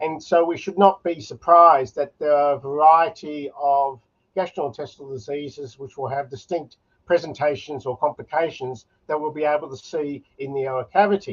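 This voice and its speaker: Loudness swings widely as a man with an Australian accent speaks at a moderate pace, his fairly high pitch showing ordinary variation. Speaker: oral medicine specialist. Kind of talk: conference lecture.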